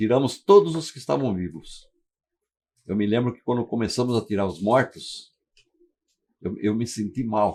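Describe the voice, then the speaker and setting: With vocal fry and lively intonation, a man at a medium pitch talks at a moderate pace, leaving long, frequent pauses. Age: 80s+. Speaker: retired firefighter. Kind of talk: testimony. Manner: halting.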